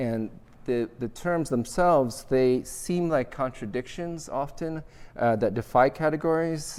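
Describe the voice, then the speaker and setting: Moderate-paced speech from a man with ordinary pitch variation. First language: Vietnamese. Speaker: architecture professor. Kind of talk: lecture. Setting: auditorium with audience.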